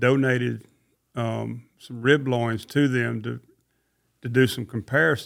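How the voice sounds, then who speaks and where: A man with a Southern US accent talks at a fairly slow pace. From Mississippi. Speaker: cattle rancher. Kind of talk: interview.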